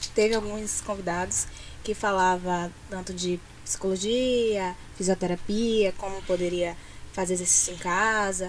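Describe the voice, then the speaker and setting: A woman speaks at a medium pitch and a fairly slow pace, her intonation flat and monotone. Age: 20s. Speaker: social media coordinator. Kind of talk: interview.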